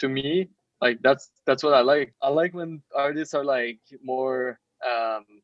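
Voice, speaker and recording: Recorded with a dry, close sound and no echo, a man talks at a medium pitch with fairly even intonation. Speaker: digital artist. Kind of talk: podcast interview. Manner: halting, repeats words.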